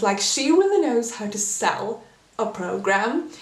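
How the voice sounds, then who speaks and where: With noticeable background noise behind her, a woman talks at a fairly high pitch with lively intonation. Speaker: figure skating commentator. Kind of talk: casual talk to camera.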